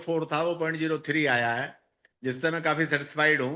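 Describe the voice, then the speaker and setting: An unremarkable speaking voice delivers its words at a moderate pace. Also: man. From northern India (Uttar Pradesh). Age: 60s. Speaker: cancer patient giving testimonial. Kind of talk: patient testimony.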